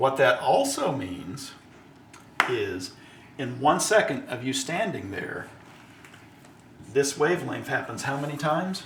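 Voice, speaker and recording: A man speaks at a fairly high pitch and a fairly slow pace, with very wide pitch swings and long, frequent pauses. Audible room echo and noticeable background noise fill the recording. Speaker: father explaining science. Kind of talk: lecture.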